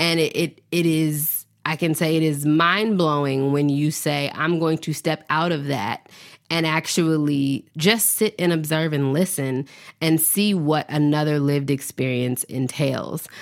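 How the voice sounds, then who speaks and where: With an American accent, a woman speaks very deep and low at a fairly slow pace, her intonation fairly even and her loudness very even, in a very clean recording with a silent background. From US South, Nashville, Tennessee. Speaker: podcast host. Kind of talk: solo podcast monologue.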